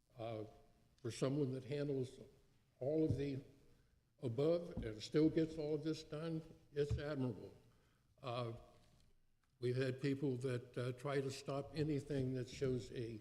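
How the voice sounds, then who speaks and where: A man with a medium-pitched, somewhat breathy voice and a dark, mellow tone speaks at a fairly slow pace with fairly even intonation and long, frequent pauses, amid audible room echo. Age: 80s+. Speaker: city council member. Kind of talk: council meeting speech. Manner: halting, many fillers.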